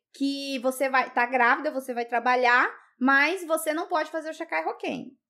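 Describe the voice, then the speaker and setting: The voice has a bright, sharp tone and ordinary pitch variation. It moves at a moderate pace over a quiet background. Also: woman. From Brazil, Rondônia. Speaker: YouTuber. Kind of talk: casual chat. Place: studio. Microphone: studio mic.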